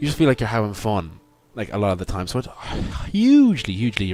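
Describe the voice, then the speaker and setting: Here a man speaks with an Irish accent. He goes at a very fast pace. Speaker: gaming YouTuber. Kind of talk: gameplay commentary. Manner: halting, many fillers and repetitions; enthusiastic.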